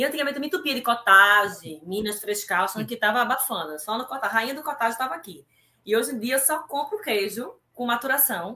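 With a normal speaking voice, a woman talks at a fairly high pitch using lively intonation. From Brazil, Recife (Pernambuco). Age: 40s. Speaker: amateur triathlete. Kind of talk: casual interview. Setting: live stream.

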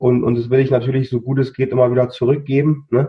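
Somewhat breathy and monotone, with flat intonation, the speaker talks at a fairly quick pace in a Berlin accent. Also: man. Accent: Berlin-area dialect. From near Berlin, Germany. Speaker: coach and chronic illness survivor. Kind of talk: interview. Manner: halting, with many repeated words.

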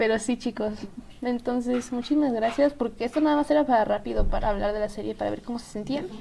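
Amid noticeable background noise, a woman with a central Mexican accent talks very fast in a high voice, her intonation lively and her loudness swinging widely. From central Mexico, Estado de México. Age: young. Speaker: podcast co-host. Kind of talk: casual chat.

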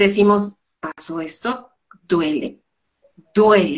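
Very slow speech from a woman at medium pitch, with ordinary pitch variation. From Colombia. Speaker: business speaker. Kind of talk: interview.

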